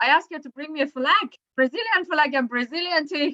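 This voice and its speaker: With a high pitch and ordinary pitch variation, a woman talks at a fairly quick pace. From Iran. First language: Farsi. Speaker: poet. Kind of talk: casual chat. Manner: halting.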